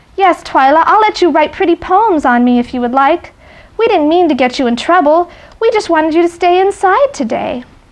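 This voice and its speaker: At a fairly quick pace, a soft-spoken woman uses a squeaky, put-on character voice pitched extremely high. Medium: read story.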